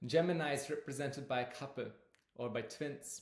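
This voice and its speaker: A man with a non-native accent speaks at a fairly high pitch, with audible room echo. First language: not English. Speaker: astrology teacher. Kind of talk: lecture. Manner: halting, with fillers.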